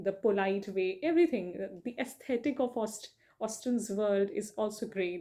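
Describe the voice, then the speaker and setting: A woman with a non-native accent speaks at a moderate pace in a fairly high pitch, her tone dark and mellow with ordinary pitch variation. The recording is very clean, with a silent background. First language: not English. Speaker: book reviewer. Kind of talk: casual monologue. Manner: hesitant, many fillers.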